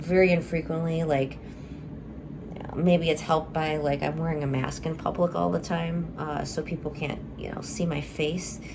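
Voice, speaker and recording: Audible room echo and noticeable background noise accompany a woman speaking at a moderate pace. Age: 30s. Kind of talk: personal video update. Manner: hesitant, many fillers.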